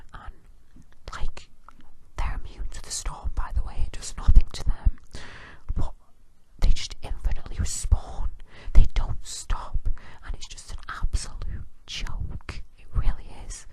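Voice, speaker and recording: Someone whispers at a fairly slow pace, leaving long, frequent pauses. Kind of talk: ASMR whispered rant. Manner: whispered.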